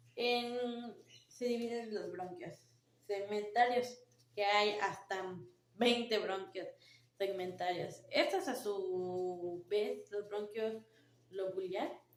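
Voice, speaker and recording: A woman speaks very slowly in a medium pitch with ordinary pitch variation, taking long, frequent pauses. Audible room echo and noticeable background noise surround her voice. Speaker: nursing student. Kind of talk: class presentation. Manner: halting.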